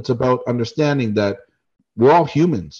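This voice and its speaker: Over a quiet background, a man with a Canadian accent speaks in an unremarkable speaking voice at a medium pitch. His pace is fairly quick and his intonation lively. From Canada. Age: 40s. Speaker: travel YouTuber and business owner. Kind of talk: casual interview chat.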